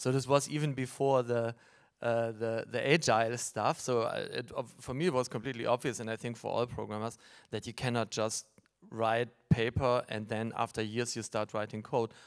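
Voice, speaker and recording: On a very clean recording with a silent background, a man speaks in a plain, everyday voice at medium pitch. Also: moderate pace. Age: 50s. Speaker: tech entrepreneur. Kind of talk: panel discussion.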